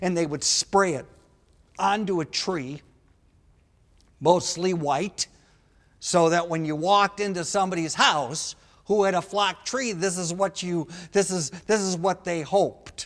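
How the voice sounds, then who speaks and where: A man with a high pitch and ordinary pitch variation talks at a fairly slow pace, with long, frequent pauses. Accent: Wisconsin. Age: 60s. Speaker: comedian. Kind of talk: stand-up. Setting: stage with audience. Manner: animated.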